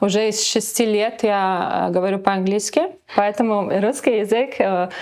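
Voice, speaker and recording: At a moderate pace, a woman with a non-native accent keeps her intonation fairly even. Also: medium pitch for a woman. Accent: pleasant foreign accent in Russian. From Latvia, near Riga. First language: Latvian (speaking Russian). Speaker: model and businesswoman. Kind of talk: interview. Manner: halting, many fillers.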